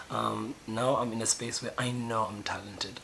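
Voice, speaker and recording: A man at a medium pitch keeps a moderate pace while noticeable background noise plays behind him. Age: 20s. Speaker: YouTuber. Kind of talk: personal video diary monologue. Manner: loud, animated; halting with fillers.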